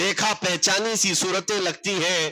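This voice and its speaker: A man talks in a passionate tone with a bright, sharp sound. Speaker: Islamic scholar giving a sermon. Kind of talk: Islamic sermon (bayan) on history, addressing an audience. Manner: passionate, rhetorical, storytelling.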